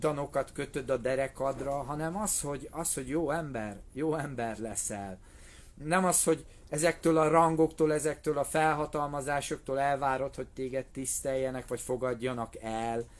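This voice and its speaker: A man talks fairly slowly, his pitch fairly high and its variation ordinary. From Hungary. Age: 40s. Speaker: martial arts instructor. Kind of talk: live video monologue. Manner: casual. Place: tent. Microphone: phone near.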